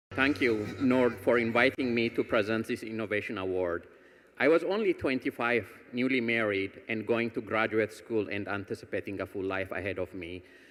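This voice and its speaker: A man speaks at a moderate pace and medium pitch with ordinary pitch variation, in a normal speaking voice. The recording is very clean, with a silent background. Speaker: foundation executive and cancer patient. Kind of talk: award presentation speech. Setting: stage with audience.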